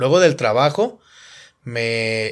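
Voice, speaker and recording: In a very clean recording with a silent background, a voice with a Mexican accent speaks with ordinary pitch variation. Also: man. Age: 30s. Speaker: podcast host and musician. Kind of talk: casual chat.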